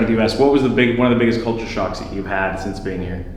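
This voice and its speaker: The intonation stays fairly even, heard through noticeable background noise and audible room echo. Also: man. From US. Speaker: chiropractor, video host. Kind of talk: casual chat.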